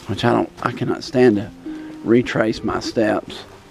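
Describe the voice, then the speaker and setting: A man with an American accent talks while music plays in the background. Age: 60s. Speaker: hiker. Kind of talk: casual narration while hiking outdoors. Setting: outdoors.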